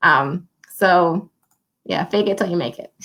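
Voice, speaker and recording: A woman with an Ohio accent and ordinary pitch variation. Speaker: livestream host. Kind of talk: casual interview chat.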